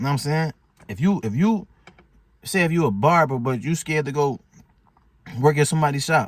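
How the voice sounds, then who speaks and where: A man speaks fairly quickly in a fairly high pitch, somewhat breathy and with lively intonation. His pauses are long and frequent. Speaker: motivational vlogger. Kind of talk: casual motivational talk. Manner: fast; animated.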